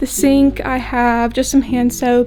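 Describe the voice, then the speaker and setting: A woman speaks at a fairly slow pace with a Midwestern American accent while music plays in the background. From Iowa. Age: 20s. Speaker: college student vlogger. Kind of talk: casual vlog tour. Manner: casual.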